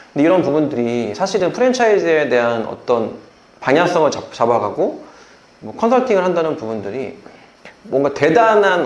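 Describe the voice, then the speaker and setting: Audible room echo carries a man's voice as his pitch swings very widely. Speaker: franchise brand owner. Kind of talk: casual interview chat. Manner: hesitant, stumbling speech.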